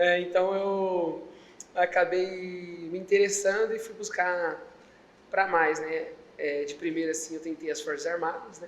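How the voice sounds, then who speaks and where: A man with a high pitch speaks at a fairly slow pace with fairly even intonation. His loudness swings widely, and audible room echo is present. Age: 20s. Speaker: public security agent. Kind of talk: interview.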